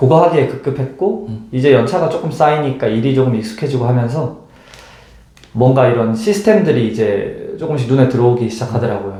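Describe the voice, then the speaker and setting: Over noticeable background noise, a man with a medium pitch talks at a fairly quick pace with lively intonation. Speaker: intensive care nurse. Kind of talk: interview answer.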